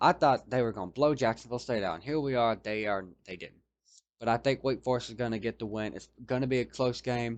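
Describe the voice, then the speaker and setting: At a very fast pace, a man of medium pitch and ordinary pitch variation speaks with big swings in loudness against a quiet background. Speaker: college football commentator. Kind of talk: sports preview monologue. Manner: halting, self-correcting.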